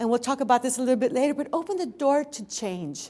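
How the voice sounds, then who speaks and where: Her high pitch, lively intonation and animated tone mark this woman's speech. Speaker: seminar instructor. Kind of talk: seminar lecture. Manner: fast.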